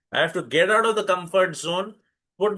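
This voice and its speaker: A man with an Indian accent talks at a moderate pace in a bright, sharp tone. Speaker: spiritual teacher. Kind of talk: lecture. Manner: halting.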